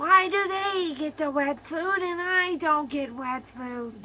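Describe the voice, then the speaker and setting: A woman puts on a raspy character voice at a high pitch and a fairly slow pace. Background noise is clearly audible. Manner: whiny, indignant.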